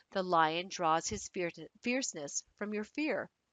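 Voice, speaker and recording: A woman with an unremarkable speaking voice, medium in pitch and fairly slow in pace. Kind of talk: audiobook reading.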